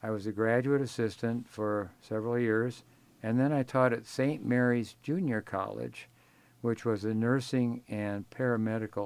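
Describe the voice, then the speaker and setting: This man has an Upper Midwest accent and a medium pitch. He talks at a fairly slow pace. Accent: Upper Midwest American. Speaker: retired professor. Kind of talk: oral history interview. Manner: halting.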